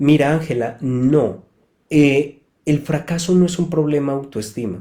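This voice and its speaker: Speaking at a fairly slow pace, a man with a fairly high pitch uses a calm, dark, mellow tone and ordinary pitch variation. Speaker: psychotherapist. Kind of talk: live talk answering audience questions. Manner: calm, explanatory.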